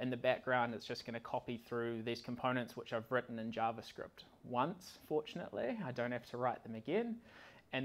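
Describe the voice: A man's lively, medium-pitched voice at a moderate pace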